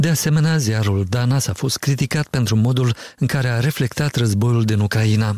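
A man talks with an ordinary speaking voice at medium pitch and a moderate pace. His loudness stays very even, and his pitch varies in an ordinary way. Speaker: radio journalist. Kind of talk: news reading.

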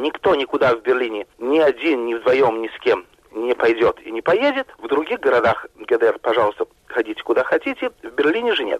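Moderate pace, dry, close sound with no echo. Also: man. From Russia, Moscow. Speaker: journalist. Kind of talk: interview.

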